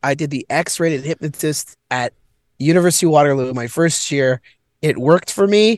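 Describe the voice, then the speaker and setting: This man has a normal speaking voice with a Canadian accent. His pitch is fairly high, with ordinary variation. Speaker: comedian. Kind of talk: casual chat. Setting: in a car, remote call. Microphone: laptop on mobile hotspot.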